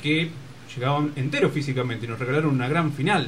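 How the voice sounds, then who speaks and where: Fairly quick speech from a man at a fairly high pitch, with ordinary pitch variation amid noticeable background noise. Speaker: sports radio co-host. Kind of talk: casual chat.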